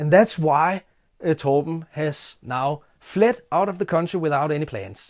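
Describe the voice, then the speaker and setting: Speaking with a non-native accent, a man moves at a very slow pace. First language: Danish. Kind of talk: casual talk to camera.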